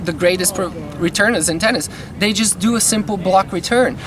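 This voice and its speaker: Crowd noise fills the background. Over it, a man speaks at a high pitch. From Bulgaria. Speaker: tennis coach. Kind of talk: casual talk to camera.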